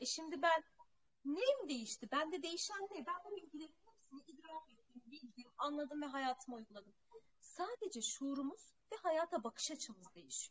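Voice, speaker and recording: Over a quiet background, a woman speaks at a moderate pace and high pitch, with very wide pitch swings and big swings in loudness. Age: 30s. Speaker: spiritual teacher. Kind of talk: spiritual talk. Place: home room. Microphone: earbuds.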